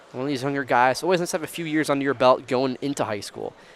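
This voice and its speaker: A man with an American accent and a fairly high pitch, over noticeable background noise. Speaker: wrestling commentator. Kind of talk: live commentary. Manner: casual, chatty.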